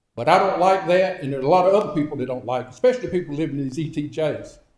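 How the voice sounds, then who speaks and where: A man with a fairly high, somewhat breathy voice speaks at a very fast pace with lively intonation amid audible room echo. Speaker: public commenter. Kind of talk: public comment. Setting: council meeting.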